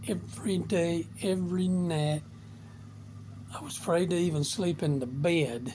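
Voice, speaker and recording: A man with a high pitch and a dark, mellow tone speaks with long, frequent pauses. Room echo can be heard. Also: ordinary pitch variation. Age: 70s. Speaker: motivational vlogger. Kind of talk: casual monologue.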